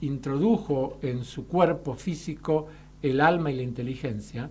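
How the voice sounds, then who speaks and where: A man speaks with a Rioplatense accent in a fairly high pitch, his tone dark and mellow. His voice is somewhat breathy, with ordinary pitch variation. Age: 60s. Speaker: molecular biologist. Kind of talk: radio interview.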